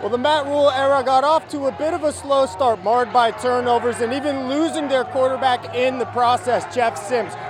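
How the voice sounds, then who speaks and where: An energetic man with an American accent and an extremely high-pitched voice, at a fairly quick pace with hardly any pauses, crowd noise in the background. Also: ordinary pitch variation. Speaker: sports anchor and reporter. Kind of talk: TV sports broadcast reporting. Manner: energetic, fast-paced anchor delivery.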